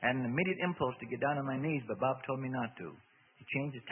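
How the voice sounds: Fairly level intonation in a natural reading voice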